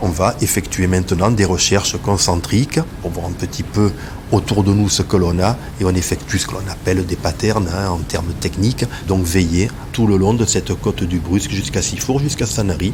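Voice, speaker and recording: Over noticeable background noise, a man with a very deep, low pitch speaks at a moderate pace with ordinary pitch variation. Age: 60s. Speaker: sea rescue volunteer. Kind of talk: testimony.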